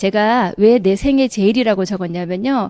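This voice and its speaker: In a very clean recording with a silent background and a dry, close sound with no echo, a woman with a Gyeongsang accent speaks at a medium pitch in a dark, mellow tone. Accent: Gyeongsang dialect intonation, still present. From South Korea, Daegu (Gyeongsang). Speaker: direct sales distributor. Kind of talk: motivational seminar talk.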